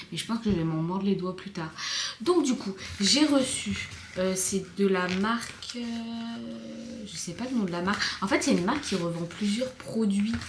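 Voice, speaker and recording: A woman speaks at a medium pitch and a fairly slow pace, her intonation lively. Noticeable background noise and audible room echo surround her voice. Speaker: vlogger. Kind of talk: casual vlog talk. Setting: at home. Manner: hesitant, many fillers; soft-spoken.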